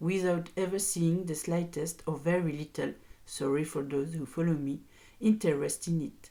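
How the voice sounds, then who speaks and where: A woman with a French accent speaks at a moderate pace in a dark, mellow tone, her pitch fairly low and her intonation fairly even. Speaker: podcaster. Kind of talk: podcast rant. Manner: virulent, impassioned.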